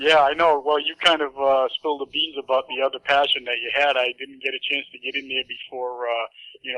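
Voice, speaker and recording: Speaking fairly quickly, a man with a Boston accent has a fairly high pitch. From Massachusetts, Boston area. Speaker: radio host. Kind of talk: casual chat. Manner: animated.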